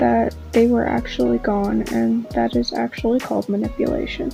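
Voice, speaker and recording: Music plays in the background as a woman speaks. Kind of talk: casual opinion rant to camera. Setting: home recording with fan noise in background.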